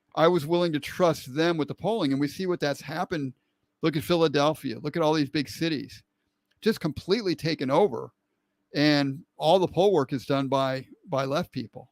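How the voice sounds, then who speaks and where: The man's fairly high voice moves at a moderate pace with ordinary pitch variation. The sound is dry and close with no echo, and the recording is very clean with a silent background. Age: 60s. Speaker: online show host. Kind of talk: live-stream political commentary. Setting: live stream. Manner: halting, with frequent repetitions.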